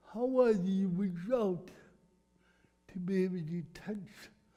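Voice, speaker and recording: With audible room echo, a man speaks at a fairly slow pace in a high voice with ordinary pitch variation. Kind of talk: talk to a church group.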